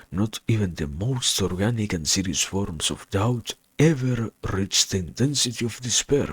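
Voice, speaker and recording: This man speaks at a fairly low pitch, somewhat breathy, with lively intonation. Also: moderate pace. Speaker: reader. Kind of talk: philosophy reading.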